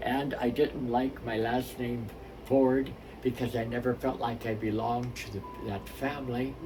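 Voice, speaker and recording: Through noticeable background noise, a man talks at a moderate pace and medium pitch in a monotone, flat intonation. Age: 70s. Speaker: minister. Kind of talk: spiritual talk with personal story.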